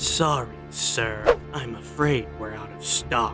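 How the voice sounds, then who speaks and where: Loud music plays in the background. Over it, a put-on character voice moves at a very slow pace. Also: man, fairly low pitch for a man. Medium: dub.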